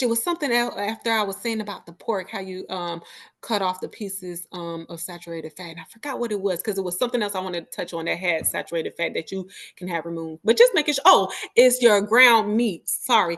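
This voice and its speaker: A woman with a medium-pitched voice speaks very fast, her intonation lively and her loudness swinging widely. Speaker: registered dietitian. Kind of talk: casual interview.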